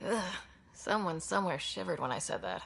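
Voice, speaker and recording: Someone performs a raspy put-on character voice at a middle pitch and a fairly quick pace. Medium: video game.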